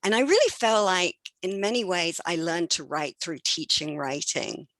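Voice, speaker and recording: In an English accent, a woman talks at a moderate pace in a dry, close sound with no echo and a quiet background. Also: fairly low pitch for a woman, ordinary pitch variation. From England. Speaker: education professor. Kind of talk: academic presentation.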